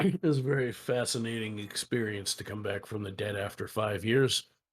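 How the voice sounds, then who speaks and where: A man puts on a character voice at a medium pitch. It sounds raspy and moves at a moderate pace. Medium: actual play. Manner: dry, composed.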